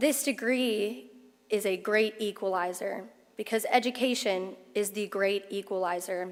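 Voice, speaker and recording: A woman with an American accent, a plain, everyday voice, medium pitch, ordinary pitch variation and a fairly slow pace. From Oklahoma, US. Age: 20s. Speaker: attorney, commencement speaker. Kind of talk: commencement speech. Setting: graduation ceremony with audience.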